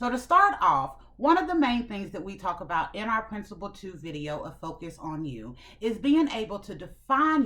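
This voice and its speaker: Bright and sharp, a woman's voice swings very widely in pitch with an animated tone. Her pace is moderate. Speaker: self-improvement channel host. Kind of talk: motivational talk to camera. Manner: loud.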